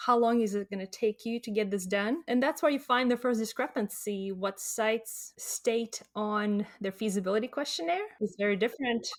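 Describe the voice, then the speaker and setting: A woman with a Latvian accent speaks at a fairly high pitch. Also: ordinary pitch variation, moderate pace, hardly any pauses. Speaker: clinical research contract negotiator. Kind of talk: interview.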